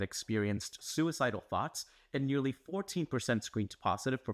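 Very wide pitch swings from a man at a moderate pace, quiet background. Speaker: news explainer host. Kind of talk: scripted news explainer. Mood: serious, earnest.

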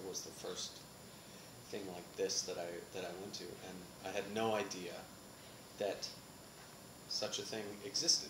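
Over noticeable background noise, a man speaks at a moderate pace with fairly even intonation and long, frequent pauses. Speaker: interviewee. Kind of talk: interview answer. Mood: playful, laughing. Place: meeting room.

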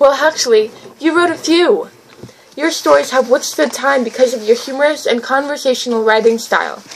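A woman's high pitch and fairly quick pace, with ordinary pitch variation, amid noticeable background noise. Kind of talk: reading a written essay aloud.

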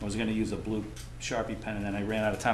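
Against noticeable background noise, a man talks at a fairly low pitch with ordinary pitch variation. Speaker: environmental consultant. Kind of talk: technical presentation at public hearing. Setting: meeting room with microphones and audience. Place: meeting room. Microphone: camera far.

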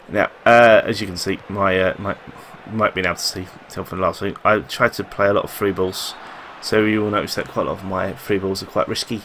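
Light background noise sits under a voice moving at a fairly quick pace. The intonation is monotone and flat. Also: man, fairly low pitch for a man. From London. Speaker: gaming youtuber. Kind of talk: gameplay commentary. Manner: halting. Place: home room. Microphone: headset.

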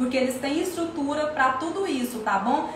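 A woman speaks amid audible room echo, with light background noise behind her. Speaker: course seller. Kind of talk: casual live Q&A promotion. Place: kitchen. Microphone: phone near.

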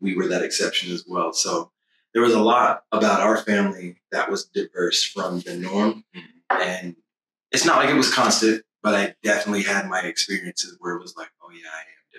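In an American accent, a man talks at a fairly quick pace with big swings in loudness. The sound is dry and close, with no echo. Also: ordinary pitch variation. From Dallas, Texas. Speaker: podcast host, church member. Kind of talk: casual panel discussion.

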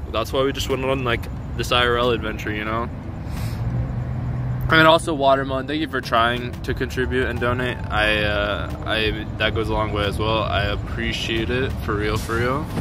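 A man's voice comes through with a dry sound with no echo and noticeable background noise. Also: ordinary pitch variation, moderate pace. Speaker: streamer. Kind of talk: casual livestream chat. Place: street. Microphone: phone near.

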